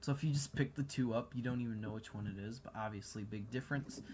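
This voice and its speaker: A man talks in an American accent. His voice is somewhat breathy. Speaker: gaming video reviewer. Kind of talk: gameplay commentary. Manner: animated.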